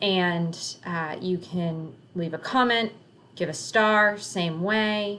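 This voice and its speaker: With audible room echo, a woman speaks at a fairly low pitch with ordinary pitch variation. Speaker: teacher. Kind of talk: tutorial.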